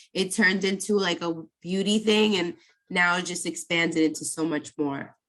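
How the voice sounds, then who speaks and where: A woman speaks at a moderate pace in a fairly low pitch. Hers is an unremarkable speaking voice with fairly even intonation. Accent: American. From New York, Brooklyn. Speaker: makeup artist. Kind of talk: podcast interview.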